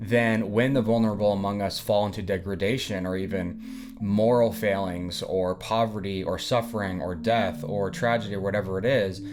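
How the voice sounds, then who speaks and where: A man with an American accent, moderate pace, fairly even intonation and hardly any pauses, plus audible room echo and music in the background. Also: fairly low pitch for a man. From US South, Nashville, Tennessee. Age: 20s. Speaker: book reviewer. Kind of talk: casual book discussion monologue. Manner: halting.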